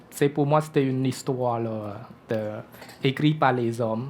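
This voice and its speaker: A man with a Cambodian accent speaks at a moderate pace with fairly even intonation. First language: Khmer (speaking French). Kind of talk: testimony. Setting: church breakfast event before audience. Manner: hesitant, many fillers.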